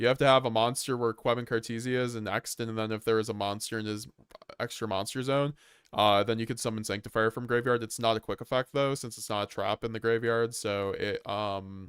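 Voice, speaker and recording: Speaking at a fairly quick pace, a man with a normal speaking voice and medium pitch sounds dry and close, with no echo. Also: fairly even intonation. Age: 20s. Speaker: gaming streamer. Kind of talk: casual livestream chat. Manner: casual, rambling with fillers.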